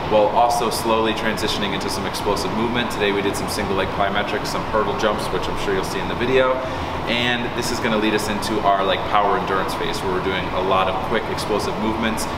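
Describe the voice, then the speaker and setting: A man rattles along at a very fast pace while loud noise fills the background. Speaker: strength coach. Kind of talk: interview answer. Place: gym.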